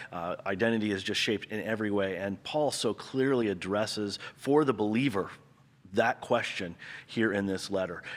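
This is an ordinary speaking voice with ordinary pitch variation at a moderate pace. The recording is very clean, with a silent background. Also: man, fairly low pitch for a man. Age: 40s. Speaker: pastor. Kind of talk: casual chat.

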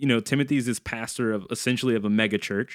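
An ordinary speaking voice from a man with an American accent, fairly even intonation and a fairly quick pace, in a very clean recording with a silent background. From US South, New Orleans, Louisiana. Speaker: youth pastor, podcast co-host. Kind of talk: casual chat. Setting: studio.

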